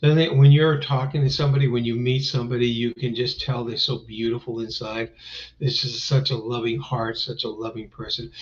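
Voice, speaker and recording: A man's medium-pitched, somewhat breathy voice with fairly even intonation. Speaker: live-stream host. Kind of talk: casual live-stream talk. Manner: rambling, filler-heavy.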